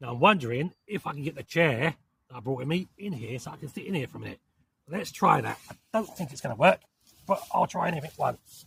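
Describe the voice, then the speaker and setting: With a London accent and vocal fry, a man speaks at a very fast pace in a fairly high pitch, his intonation lively and his loudness swinging widely, in a dry, close sound with no echo. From southern England. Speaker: outdoor camping vlogger. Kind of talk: casual vlog talk to camera. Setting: outdoors in a forest, inside a tent.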